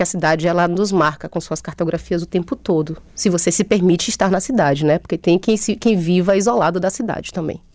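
Speaking fairly quickly with hardly any pauses, a woman with a fairly low pitch and ordinary pitch variation has an unremarkable speaking voice. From Brazil, Bahia interior (Chapada Diamantina). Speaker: comics artist and author. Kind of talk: radio interview. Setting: studio.

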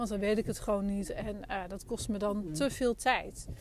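A woman speaks at a fairly quick pace. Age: 40s. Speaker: business mentor and podcast host. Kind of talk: solo podcast monologue. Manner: halting, many fillers.

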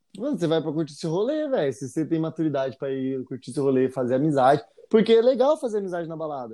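Talking at a very fast pace with hardly any pauses, a man with a fairly high pitch and a dark, mellow tone uses lively intonation against a quiet background. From Jacareí, São Paulo state, Brazil. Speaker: musician and podcast co-host. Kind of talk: casual chat.

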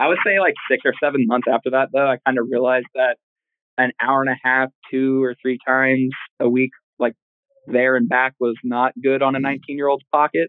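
A man with an American accent talks at a moderate pace and medium pitch in a plain, everyday voice. His intonation is fairly even and his loudness very even. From Oklahoma. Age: 20s. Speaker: professional wrestler. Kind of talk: interview.

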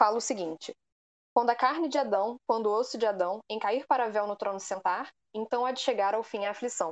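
A plain, everyday voice from a woman, fairly high in pitch with ordinary variation, at a moderate pace, dry and close with no echo against a quiet background. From Rio de Janeiro, Brazil. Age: 20s. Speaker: literature student. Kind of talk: casual group discussion.

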